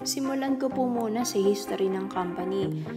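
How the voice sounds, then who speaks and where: A woman speaking over music in the background. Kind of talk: business presentation.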